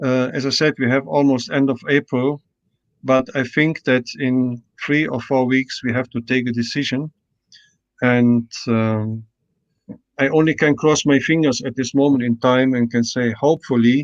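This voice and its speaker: Recorded with a dry, close sound and no echo, a man speaks at medium pitch and a moderate pace with fairly even intonation. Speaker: martial arts federation president. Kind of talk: interview Q&A. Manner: hesitant, many fillers.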